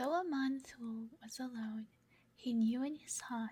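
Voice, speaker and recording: Whispered words from a woman. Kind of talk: ASMR sleep story reading.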